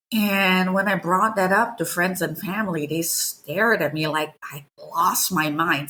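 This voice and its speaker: With a non-native accent, a woman talks at a medium pitch. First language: not English. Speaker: novelist and game writer. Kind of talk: interview.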